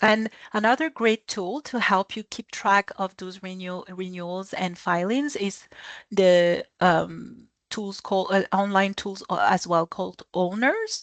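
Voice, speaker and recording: Over a quiet background, a woman speaks at a fairly slow pace and medium pitch with ordinary pitch variation. Her loudness swings widely, and the sound is dry and close with no echo. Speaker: business expert guest speaker. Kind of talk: webinar presentation. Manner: halting, many fillers and restarts.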